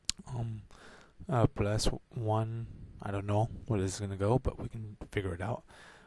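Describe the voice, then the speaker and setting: Soft-spoken and somewhat breathy, a man talks at a moderate pace in a fairly low pitch with a dark, mellow tone, fairly even intonation, and long, frequent pauses. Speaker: math tutor. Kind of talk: tutorial. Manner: soft-spoken, talking low; halting, many fillers.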